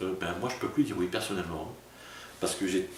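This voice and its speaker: A man speaks with a slight southern French accent. Audible room echo and noticeable background noise surround him. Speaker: pastor. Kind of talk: sermon. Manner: casual, conversational; fast.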